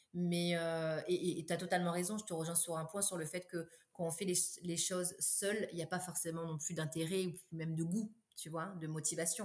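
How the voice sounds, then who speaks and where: Somewhat breathy and fairly low in pitch, a woman speaks at a moderate pace with monotone, flat intonation. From Réunion. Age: 30s. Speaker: entrepreneur. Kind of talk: interview. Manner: hesitant, many fillers.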